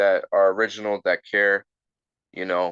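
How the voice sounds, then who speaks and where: In a quiet background, a man with an American accent talks at a moderate pace in a bright, sharp tone, the sound dry and close with no echo. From Philadelphia, US. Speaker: rapper. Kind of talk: casual chat. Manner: halting, many repeated words.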